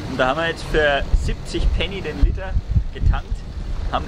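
Loud noise fills the background while a man speaks at moderate speed. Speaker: sailing vlogger. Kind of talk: casual vlog chat. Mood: cheerful, pleased. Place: boat. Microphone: phone near.

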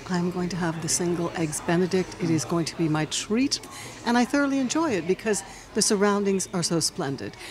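Noticeable background noise sits behind the voice. The delivery is fairly quick. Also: woman. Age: 60s. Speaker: podcast host. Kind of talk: interview. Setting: restaurant. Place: cafe. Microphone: studio mic.

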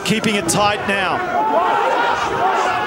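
Crowd noise fills the background as a man speaks in a raised, projected voice. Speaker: rugby match commentator. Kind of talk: live commentary.

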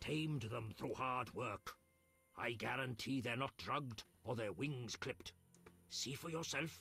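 A man puts on a character voice that is raspy and medium in pitch, with very even loudness. Faint music plays in the background. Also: moderate pace. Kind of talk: in-game character dialogue.

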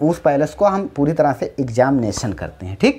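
Intonation is lively, and the speed stays moderate. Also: man. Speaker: teacher. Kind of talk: lecture. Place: classroom. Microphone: lapel.

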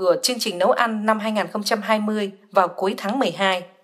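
Here is a woman with an ordinary speaking voice. She speaks at a fairly high pitch and a fairly slow pace. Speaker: news reader. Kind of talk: news reading.

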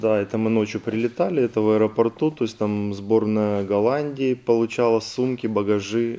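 At a moderate pace, a man talks in an unremarkable speaking voice of medium pitch with fairly even intonation. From Ukraine, Kherson region. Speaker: Olympic rower. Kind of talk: studio interview. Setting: TV studio.

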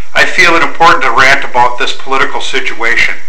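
Light background noise sits behind the voice of a man. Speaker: vlogger ranting about politics. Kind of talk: angry political rant. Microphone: webcam.

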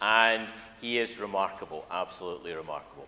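A man's bright, sharp tone comes through with ordinary pitch variation.

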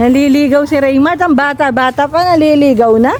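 A woman's high voice amid noticeable background noise. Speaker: vlogger. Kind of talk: casual chat. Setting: outdoors. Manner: animated.

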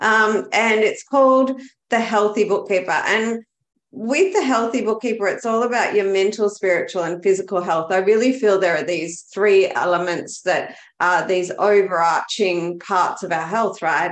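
A woman talks at a moderate pace and medium pitch with ordinary pitch variation. Audible room echo surrounds her voice. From Australia, Melbourne. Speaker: bookkeeper, business coach and dancer; business coach. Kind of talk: casual interview chat. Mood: earnest, enthusiastic. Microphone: webcam.

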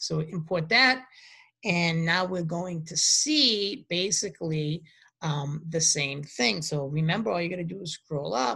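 The speaker has a Boston accent and a fairly slow pace. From US Northeast, Boston. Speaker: university lecturer. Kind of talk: lecture. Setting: home recording during quarantine. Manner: halting.

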